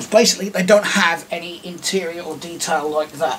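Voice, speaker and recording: Over light background noise, a man with an English accent speaks with fairly even intonation. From England. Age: 30s. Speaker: YouTuber. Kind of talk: casual vlog talk. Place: home room. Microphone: camera far.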